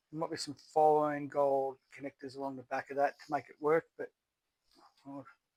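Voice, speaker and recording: Mumbling in an Australian accent, a man speaks at a moderate pace and fairly high pitch, his intonation flat and monotone, his loudness swinging widely, the sound dry and close with no echo. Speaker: scrap recycling YouTuber. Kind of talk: casual tutorial while dismantling electronics. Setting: outdoors in backyard. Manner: mumbly.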